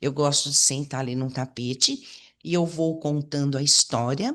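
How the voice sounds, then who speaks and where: The woman's pitch is very deep and low, and she speaks at a moderate pace. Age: 60s. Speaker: holistic therapy teacher. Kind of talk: online lecture. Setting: online presentation with chat. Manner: hesitant, with repetitions.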